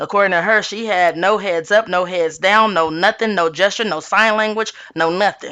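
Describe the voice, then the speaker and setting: With a quiet background, a woman talks at a fairly quick pace and medium pitch in an animated, bright, sharp tone. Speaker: tarot reader and reality TV commentator. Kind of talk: casual commentary monologue. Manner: animated, repetitive fillers.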